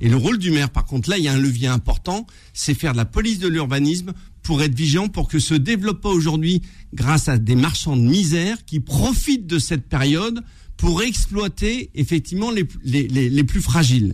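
A man's fairly high voice with very wide pitch swings and very even loudness. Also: fairly quick pace. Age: 50s. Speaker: mayor, former police officer. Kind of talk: interview. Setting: studio.

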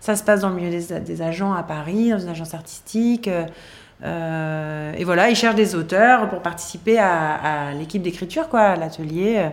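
Amid noticeable background noise and audible room echo, a woman with a fairly low pitch speaks at a moderate pace with ordinary pitch variation. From southern France, Toulon. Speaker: TV screenwriter and showrunner. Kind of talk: interview. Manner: halting, many fillers.

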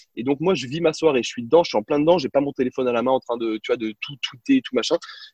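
A man talking very fast, with ordinary pitch variation. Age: 30s. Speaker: sports journalist and TV presenter. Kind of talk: interview, casual storytelling.

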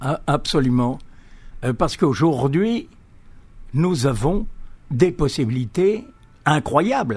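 At a very slow pace with long, frequent pauses, a man speaks in a fairly high, somewhat breathy voice with very wide pitch swings. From Algeria. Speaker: author, architect-engineer. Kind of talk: radio interview. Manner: halting, with repetitions.

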